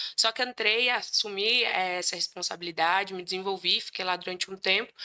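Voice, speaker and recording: Fairly brisk speech from a woman in a mid-range pitch, her intonation fairly flat. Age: 20s. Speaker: recruitment professional. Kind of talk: podcast interview. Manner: talkative.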